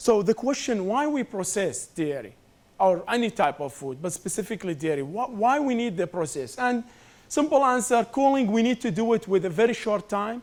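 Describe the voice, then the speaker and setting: A man's high-pitched voice with a non-native accent, very wide pitch swings and a moderate pace. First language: not English. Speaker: food science professor. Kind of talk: lecture.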